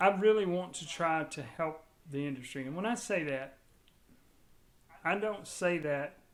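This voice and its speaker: In a room with audible echo, a high-voiced man speaks at a fairly slow pace with long, frequent pauses, ordinary pitch variation and big swings in loudness. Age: 60s. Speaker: building automation industry expert. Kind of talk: podcast interview. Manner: halting, with frequent restarts.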